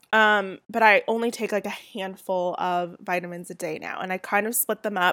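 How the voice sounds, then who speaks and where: A woman with a Southern California accent speaks at a fairly quick pace and medium pitch with fairly even intonation, the sound dry and close with no echo on a very clean recording with a silent background. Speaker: podcast host and blogger. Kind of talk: casual solo chat. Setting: home recording with a poor mic. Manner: chatty, with fillers and laughs.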